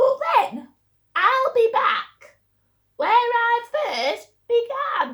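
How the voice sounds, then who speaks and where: A woman uses a put-on character voice, squeaky and extremely high in pitch. Her intonation is lively while the pace stays very slow. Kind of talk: bedtime story. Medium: read story.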